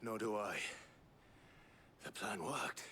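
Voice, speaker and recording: Over clear background noise, a man does a put-on character voice at a fairly low pitch. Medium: video game. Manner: measured, formal.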